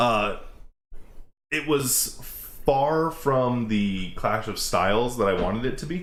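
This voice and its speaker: Audible room echo follows a man as he talks. His intonation is lively. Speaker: wrestling reaction video host. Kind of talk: casual chat. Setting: outdoors. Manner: loud; animated.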